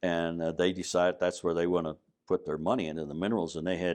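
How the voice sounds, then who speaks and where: A man talks in a very deep, low pitch with fairly even intonation. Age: 80s+. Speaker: retired mining executive and educator. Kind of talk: oral history interview. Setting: hotel. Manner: halting, many fillers.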